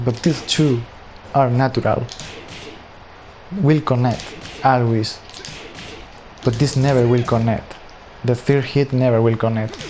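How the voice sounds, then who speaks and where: With a non-native accent, a man speaks at a medium pitch and a fairly slow pace, with long, frequent pauses, fairly even intonation and very even loudness over noticeable background noise. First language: not English. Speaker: gaming tutorial creator. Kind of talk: tutorial. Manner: casual, conversational.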